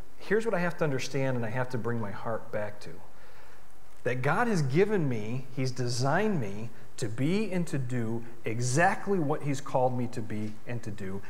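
At a moderate pace and a medium pitch, a man speaks with lively intonation in a plain, everyday voice. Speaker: pastor. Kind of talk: sermon. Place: church.

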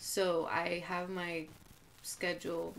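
This woman has a fairly low pitch and speaks with an American accent. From Coachella Valley, California; California. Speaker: artist and fashion designer; podcast guest. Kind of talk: casual chat. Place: home room. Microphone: camera far.

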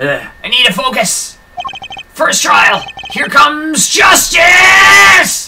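A put-on character voice, raspy and high-pitched. It moves at a very slow pace. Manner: dramatic.

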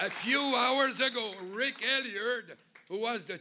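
A man's raised, projected voice over light background noise. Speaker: speaker. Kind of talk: political rally speech. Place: hall. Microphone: podium.

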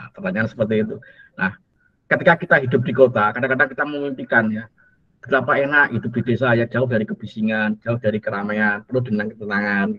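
A man talking at a very fast pace, bright and sharp in tone, with ordinary pitch variation, big swings in loudness and a quiet background. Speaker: university lecturer. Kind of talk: lecture. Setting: video call. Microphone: video call.

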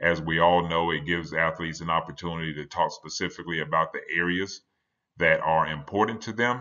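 A man speaks with a very deep, low pitch. His pace is fairly quick and his intonation fairly even. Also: quiet background. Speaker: conference presenter. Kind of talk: lecture. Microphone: webcam.

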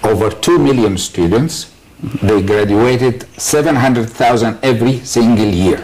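With an Arabic accent, the speaker talks at a very slow pace with ordinary pitch variation, very even loudness and light background noise. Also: man. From Egypt. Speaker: business leader; guest. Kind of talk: TV panel discussion. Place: studio.

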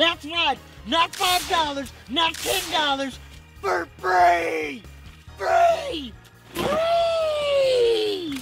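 A put-on character voice speaks at a very slow pace with an extremely high pitch. Clear music plays in the background. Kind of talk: spoof TV commercial pitch. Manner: loud, excited.

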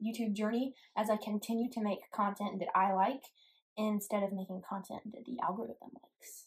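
Somewhat breathy, a woman speaks at a fairly high pitch and a moderate pace. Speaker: guitarist and YouTube creator. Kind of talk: angry rant to camera about the YouTube algorithm. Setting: solo video to camera, self-recorded. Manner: exasperated, complaining, aggrieved.

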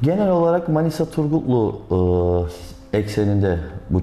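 Audible room echo surrounds a man speaking in a dark, mellow tone. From Aegean Turkey. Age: 30s. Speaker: real estate agent. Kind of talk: interview. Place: office.

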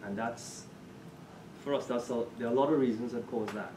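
Noticeable background noise is present throughout. The man's intonation stays fairly even. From Trinidad and Tobago. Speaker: course participant. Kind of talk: classroom discussion. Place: hall.

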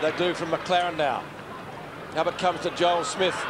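A man with an Australian accent talks at a fairly quick pace in a high pitch and an animated tone. Noticeable background noise is present. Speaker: play-by-play commentator. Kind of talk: live sports commentary, AFL match call. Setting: stadium commentary box, live broadcast. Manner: rapid-fire, animated, keeps pace with the play, builds to a crescendo at the final siren.

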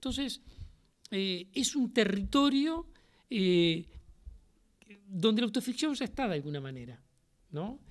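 Against a quiet background, a man with a high pitch talks at a fairly slow pace with very wide pitch swings. Long, frequent pauses break up his speech. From Uruguay, Montevideo; Uruguay. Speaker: playwright and theatre director. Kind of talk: public interview before a university audience. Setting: lecture hall with audience. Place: classroom. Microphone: podium.

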